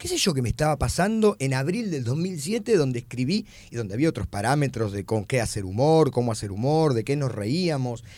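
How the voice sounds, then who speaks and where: A man in a Rioplatense accent, dark and mellow in tone at medium pitch, with very wide pitch swings, a fairly quick pace and hardly any pauses, on a very clean recording with a silent background. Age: 40s. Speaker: comedian. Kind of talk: casual chat.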